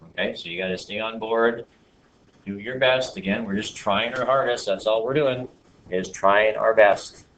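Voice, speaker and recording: With an unremarkable speaking voice, a man keeps his pitch medium and its variation ordinary. He talks at a moderate speed. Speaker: math teacher. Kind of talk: classroom lecture.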